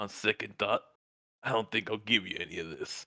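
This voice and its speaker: A man does a raspy put-on character voice at medium pitch and a fairly quick pace, in a dry, close sound with no echo. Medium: actual play. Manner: rough, crude.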